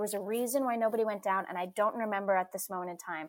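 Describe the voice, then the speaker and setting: A woman with a New York accent, fairly high in pitch with ordinary pitch variation, at a fairly quick pace. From New York City (Staten Island). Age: 20s. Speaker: stage actress. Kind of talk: casual chat.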